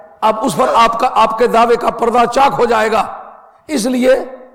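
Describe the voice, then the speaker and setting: This is a man's voice. His pitch is extremely high for a man. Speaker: Islamic scholar and religious lecturer. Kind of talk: religious lecture / sermon. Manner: earnest, argumentative, rhetorical.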